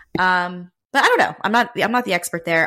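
Heard on a very clean recording with a silent background, a woman has a fairly low pitch and a bright, sharp tone. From Raleigh, North Carolina. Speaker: podcast host. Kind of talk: casual chat.

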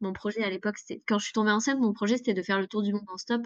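This woman's medium-pitched voice keeps a fairly even intonation. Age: 20s. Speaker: single mother, traveler. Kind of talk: interview testimony. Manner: hesitant, many filler words.

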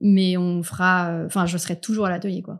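An ordinary speaking voice moves at a moderate pace with fairly even intonation against a quiet background. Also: woman. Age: 30s. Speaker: cabinetmaker specializing in wood marquetry. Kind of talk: interview. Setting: studio.

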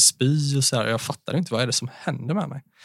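Talking at a very fast pace, a man uses ordinary pitch variation in a dry, close sound with no echo. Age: 20s. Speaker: mental health speaker. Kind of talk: casual interview, personal testimony.

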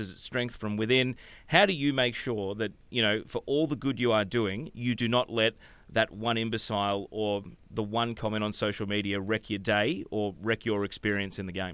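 A man speaks with an Australian accent. His pitch varies in an ordinary way. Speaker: podcast host. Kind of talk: casual chat; scripted outro.

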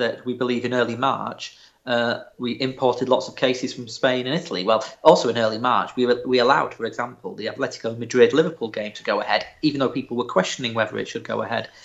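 Hardly pausing, a man talks at a very fast pace with fairly even intonation. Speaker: politician. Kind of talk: broadcast interview.

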